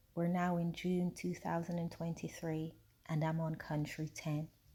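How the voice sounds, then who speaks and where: A woman with an American accent speaks at a fairly slow pace in a fairly low pitch. Her dark, mellow voice is somewhat breathy, with monotone, flat intonation. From Jamaica, then England. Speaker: travel vlogger. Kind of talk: travel vlog narration. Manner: casual, chatty.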